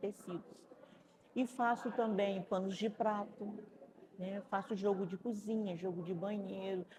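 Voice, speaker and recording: A woman speaking at a fairly slow pace, with noticeable background noise behind her. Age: 60s. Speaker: craft entrepreneur. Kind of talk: interview.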